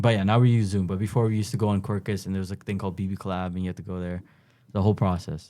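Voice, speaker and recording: Over a very clean recording with a silent background, a man with a Toronto accent talks at a very fast pace. His pitch is fairly low, his tone dark and mellow, and his intonation fairly even. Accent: Toronto Canadian English. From Canada, Toronto. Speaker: university student. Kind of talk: casual interview. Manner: casual, halting.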